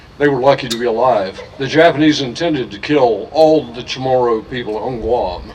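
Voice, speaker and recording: Over noticeable background noise, a man of medium pitch talks at a fairly quick pace. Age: 70s. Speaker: archaeologist and tour guide. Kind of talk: speech at memorial ceremony. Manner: halting, many fillers.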